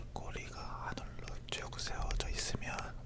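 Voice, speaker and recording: A whisper at a very slow pace over noticeable background noise. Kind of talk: ASMR whispered chat about cats. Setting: close stereo microphone with left-right panning.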